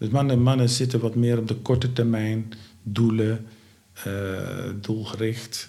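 A dark, mellow tone delivers speech at a very slow pace with monotone, flat intonation. Room echo is audible. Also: man, medium pitch for a man. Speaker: founder of a home care organisation. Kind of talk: interview. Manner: halting, many filler sounds.

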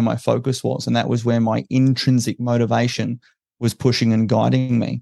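Dry and close with no echo, a man's medium-pitched voice with a dark, mellow tone moves at a fairly quick pace in flat, monotone intonation with an Australian accent. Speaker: special forces veteran and political party founder. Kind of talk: interview.

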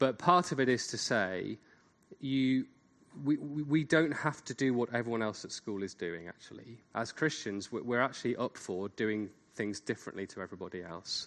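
A man with an unremarkable speaking voice talks at a moderate pace. His pitch is medium, his intonation lively. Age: 40s. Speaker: seminar speaker. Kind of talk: lecture.

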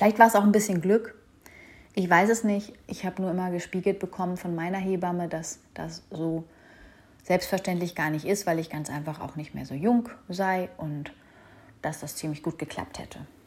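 At a moderate pace, a woman with a medium pitch and a somewhat breathy voice speaks with fairly even intonation, big swings in loudness and long, frequent pauses. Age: 30s. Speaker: podcast host, mother. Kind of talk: personal monologue podcast.

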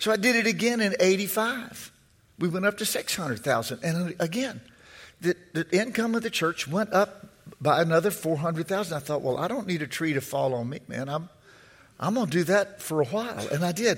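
Lively in intonation, a man speaks at a moderate pace in a high-pitched voice. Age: 60s. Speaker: preacher. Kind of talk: fiery sermon, preacher in full flow with call-and-response. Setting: church with congregation. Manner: repeats words and phrases while building momentum.

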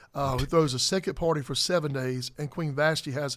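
A very fast man's voice in a Southern US accent, fairly high in pitch and fairly even in intonation, on a very clean recording with a silent background. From South Carolina. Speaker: pastor. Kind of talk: casual chat.

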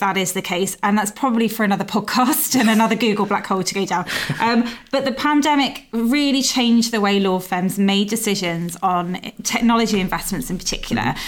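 Here is a woman in a normal speaking voice, fairly high-pitched with ordinary pitch variation. She talks at a fairly quick pace. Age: 40s. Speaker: podcast host, legal news editor. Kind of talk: interview.

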